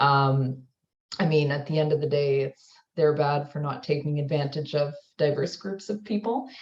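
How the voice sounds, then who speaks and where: At a moderate pace, a somewhat breathy voice talks with ordinary variation in pitch. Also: woman, very deep, low pitch for a woman. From Canada. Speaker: university student services manager. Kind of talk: online panel discussion.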